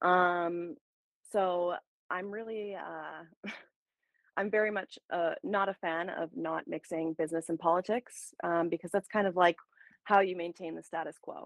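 A woman with a Canadian accent and an unremarkable speaking voice talks at a fairly slow pace with fairly even intonation. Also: fairly low pitch for a woman. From Ontario, Canada. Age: 30s. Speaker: small business owner. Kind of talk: casual chat.

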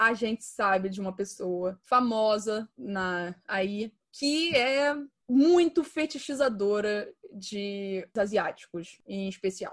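Lively intonation marks the medium-pitched voice of a woman. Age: 20s. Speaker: podcast host. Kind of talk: casual chat.

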